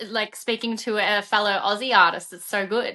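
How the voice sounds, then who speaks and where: A woman with an Australian accent and a bright, sharp tone. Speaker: podcast host and musician. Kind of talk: casual interview chat. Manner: animated.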